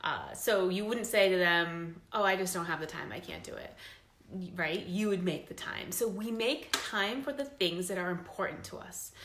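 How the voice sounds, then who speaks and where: Here is a woman with an ordinary speaking voice at medium pitch and a moderate pace. Her pitch varies in an ordinary way, while her loudness swings widely. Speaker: fitness business coach. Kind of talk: recruitment pitch talk.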